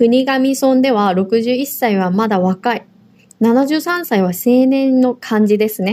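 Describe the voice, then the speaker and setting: With a dark, mellow tone, a woman at a high pitch speaks very slowly, with ordinary pitch variation. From South Korea. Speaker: language teacher, podcast co-host. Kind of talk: language lesson.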